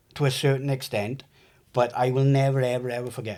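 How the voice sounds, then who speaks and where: A man speaks in a Welsh accent at a moderate pace and a medium pitch. The recording is very clean, with a silent background. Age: 40s. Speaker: trauma survivor. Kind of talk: testimony. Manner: halting.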